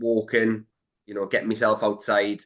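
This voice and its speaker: A man's fairly low voice with a Geordie accent. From northern England, Newcastle. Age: 30s. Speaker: entrepreneur and property investor. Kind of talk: podcast interview.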